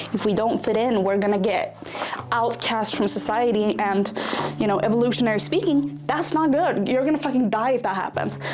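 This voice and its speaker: A woman with a non-native accent speaks at a fairly quick pace and very even loudness, amid noticeable background noise and audible room echo. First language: not English. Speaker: vlogger. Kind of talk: casual vlog monologue. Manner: rambling, filler-heavy.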